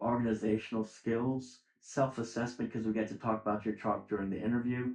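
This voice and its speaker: In monotone, flat intonation, a man talks at medium pitch and a fairly quick pace. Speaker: dental school admissions dean. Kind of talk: interview. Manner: fast.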